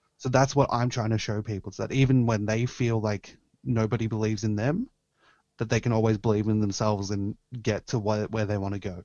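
In an Australian accent, a man with a fairly low pitch talks at a fairly quick pace with fairly even intonation. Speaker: pro wrestler. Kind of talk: casual chat.

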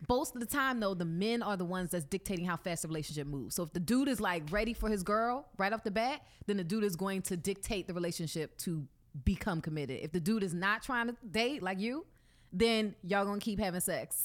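With lively intonation, a woman speaks at a very fast pace. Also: medium pitch for a woman, very clean recording, silent background. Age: 30s. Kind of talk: casual chat. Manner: laughs often.

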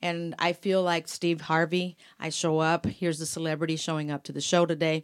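A woman's fairly low, monotone voice with flat intonation, on a very clean recording with a silent background. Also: fairly quick pace. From Mexico. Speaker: radio personality and event MC. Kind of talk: casual chat.

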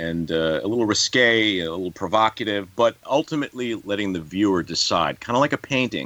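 A man with a New York accent speaks at a moderate pace in a fairly low voice, his bright, sharp tone and lively intonation captured with a dry, close sound and no echo. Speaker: actor. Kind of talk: interview. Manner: halting.

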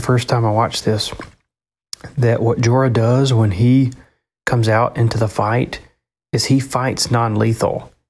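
Somewhat breathy, a man speaks at a medium pitch and moderate pace with monotone, flat intonation. His loudness is very even, broken by long, frequent pauses. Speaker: listener. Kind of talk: listener feedback message.

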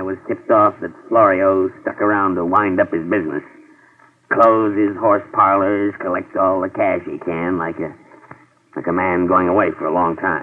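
A man puts on a whiny character voice at a fairly low pitch. He keeps a moderate pace. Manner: gloomy, whining, melodramatic.

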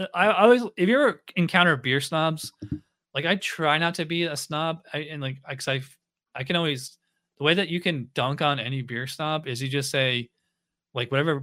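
Here is an unremarkable speaking voice with an American accent and ordinary pitch variation. The pace is fairly quick. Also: man. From upstate New York. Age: 40s. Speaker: podcast host, beer reviewer. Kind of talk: casual chat. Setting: video call.

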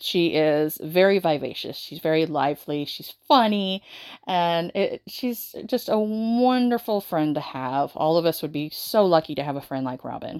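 Using a plain, everyday voice with an American accent, a woman speaks at a moderate pace and fairly low pitch, her intonation lively, her loudness swinging widely, and hardly any pauses. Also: very clean recording, silent background. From US South. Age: 30s. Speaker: book podcaster. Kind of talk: casual book review monologue.

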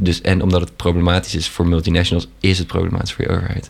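There is noticeable background noise here. Through it comes a man's voice, very deep and low in pitch. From Netherlands. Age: 20s. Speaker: university student. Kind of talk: casual chat.

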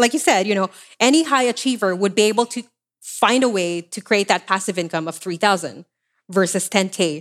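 A woman's normal speaking voice at a medium pitch and fairly quick pace, with ordinary pitch variation and a dry, close sound with no echo. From developing country, immigrated to Canada. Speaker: money coach and entrepreneur. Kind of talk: casual interview.

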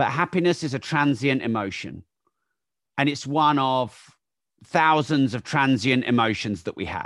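A man with an English accent speaks at a moderate pace and medium pitch. His pitch varies in an ordinary way over a quiet background. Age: 40s. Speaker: entrepreneur and author. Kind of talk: interview.

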